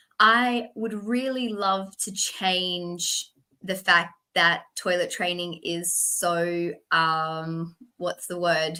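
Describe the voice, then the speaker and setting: A woman speaks very slowly with an Australian accent, her tone bright and sharp. Her pitch sits in a medium range and varies in an ordinary way. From Western Australia, Perth. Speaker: toilet training specialist. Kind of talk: interview.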